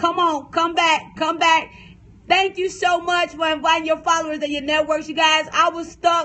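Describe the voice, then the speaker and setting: A woman with an American accent speaks loudly at an extremely high pitch. Her tone is animated. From US South. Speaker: preacher and author. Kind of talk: livestream sermon. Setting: phone livestream. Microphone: phone stream freezing.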